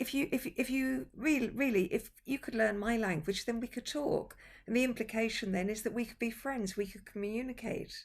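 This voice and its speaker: This somewhat breathy voice shows ordinary pitch variation. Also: woman. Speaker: interviewer. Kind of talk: casual online conversation. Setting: video call.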